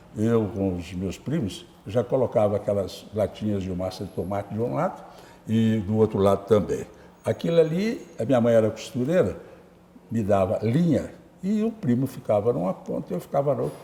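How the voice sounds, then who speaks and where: Speaking with lively intonation, a man has a somewhat breathy, dark, mellow tone at a medium pitch. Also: moderate pace. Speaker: journalist and writer. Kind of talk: interview. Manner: halting.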